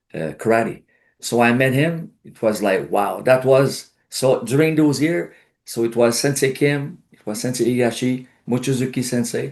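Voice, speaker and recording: A man speaks at medium pitch and a moderate pace, with ordinary pitch variation and big swings in loudness over a quiet background. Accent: Quebec. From Quebec, Outaouais region. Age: 60s. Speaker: karate instructor. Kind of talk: interview.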